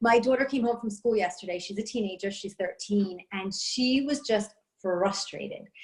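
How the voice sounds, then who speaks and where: Somewhat breathy and animated, a woman with a New York accent talks at a moderate pace and fairly high pitch with ordinary pitch variation. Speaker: network marketer, stay-at-home mom. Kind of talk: testimony.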